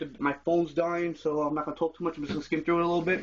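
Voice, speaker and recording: The speaker is a man with a high voice. His intonation is monotone and flat. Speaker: reptile keeper vlogger. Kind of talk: casual video tour. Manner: fast. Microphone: phone recording.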